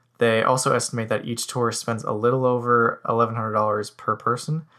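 With a bright, sharp tone, a man at medium pitch speaks fairly quickly with fairly even intonation in a very clean recording with a silent background. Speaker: economics researcher segment guest. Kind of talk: scripted-style informative segment.

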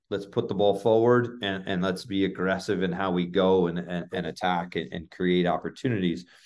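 Using a plain, everyday voice, a man talks at a moderate pace and fairly low pitch with ordinary pitch variation. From Oklahoma, near Tulsa. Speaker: college soccer head coach. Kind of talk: interview.

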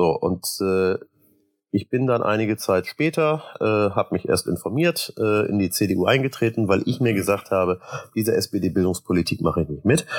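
In a very clean recording with a silent background and a dry, close sound free of echo, a man with a fairly low pitch and an unremarkable speaking voice talks at a moderate pace with lively intonation. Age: 40s. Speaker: state parliament member. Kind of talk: casual interview.

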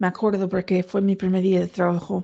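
Against a quiet background, a woman speaks at a medium pitch with a dark, mellow tone. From US, Virginia. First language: English (speaking Spanish). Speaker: person living with schizophrenia. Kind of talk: testimony.

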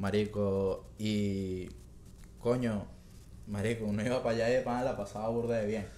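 Delivered at a moderate pace with long, frequent pauses, the voice has a dark, mellow tone, a monotone, flat intonation and very even loudness, with audible room echo around it. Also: man, fairly low pitch for a man. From Venezuela, Valencia. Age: 20s. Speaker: podcast guest. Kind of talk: casual chat.

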